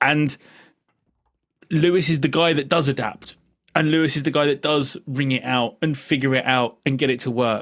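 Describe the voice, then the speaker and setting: This man's fairly high voice moves at a moderate pace with very even loudness and fairly even intonation, broken by long, frequent pauses. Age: 40s. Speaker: podcast co-host. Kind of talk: casual podcast chat.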